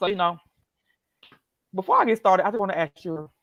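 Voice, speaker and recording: A woman speaks with vocal fry and ordinary pitch variation. The sound is dry and close, with no echo. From US South, west side of Atlanta. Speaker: motivational speaker. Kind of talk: motivational talk in interview. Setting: Facebook Live video stream. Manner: fast; animated, excited.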